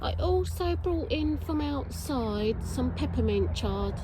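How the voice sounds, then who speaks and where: Noticeable background noise sits behind a woman with a very deep, low pitch who speaks at a fairly slow pace with fairly even intonation. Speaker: home gardener. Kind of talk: casual talk to camera.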